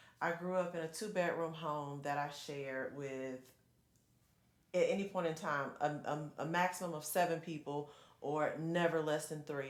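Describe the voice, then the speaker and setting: Speaking fairly quickly, a woman with a very deep, low pitch is heard with audible room echo. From Georgia, US South (Perry). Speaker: congressional candidate. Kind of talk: interview. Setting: studio. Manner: animated.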